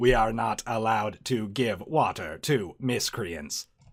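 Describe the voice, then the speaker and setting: This man puts on a character voice at a medium pitch. He delivers it at a fairly slow pace. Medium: actual play. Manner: flat, literal, mechanical.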